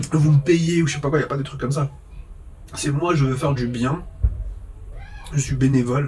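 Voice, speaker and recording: Noticeable background noise sits behind a man with fairly high pitch and fairly even intonation. He keeps a moderate pace broken by long, frequent pauses. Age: 30s. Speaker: vlogger, phone repairer. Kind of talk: casual monologue vlog.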